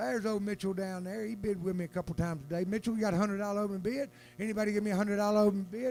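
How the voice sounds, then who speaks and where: A man's high-pitched, animated voice in a Southern US accent at a very fast pace, with music in the background. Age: 60s. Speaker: auctioneer. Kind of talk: live auction calling.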